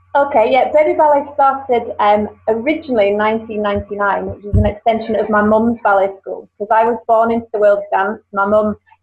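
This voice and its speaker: Over music in the background, a woman speaks fairly quickly in a fairly high voice with ordinary pitch variation. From UK. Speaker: dance school franchise founder. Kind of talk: interview. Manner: hesitant, many fillers.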